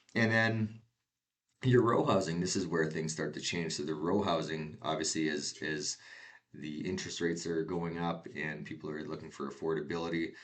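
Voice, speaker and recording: A man with a Canadian accent and a very deep, low pitch speaks with ordinary pitch variation amid audible room echo. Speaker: real estate agent. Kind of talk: market update presentation. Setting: screen share recording. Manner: fast.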